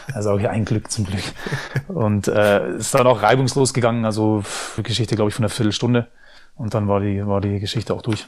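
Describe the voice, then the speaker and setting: A man with a fairly low pitch and fairly even intonation talks at a very fast pace between long, frequent pauses, on a very clean recording with a silent background. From Germany. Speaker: former pro footballer and pundit. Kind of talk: casual interview. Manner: hesitant, many fillers.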